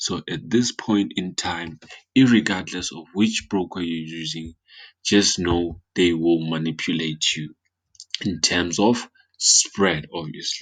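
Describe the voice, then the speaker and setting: With a quiet background, a man talks at a very slow pace in a very deep, low pitch, with ordinary pitch variation and big swings in loudness. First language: not English. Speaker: forex trading analyst. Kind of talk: market analysis tutorial. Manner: halting with fillers and repetitions.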